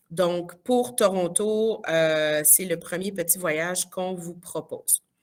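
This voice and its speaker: A woman with a fairly low pitch talks at a very slow pace, using ordinary pitch variation. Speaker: teacher presenting school trips. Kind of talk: information session presentation.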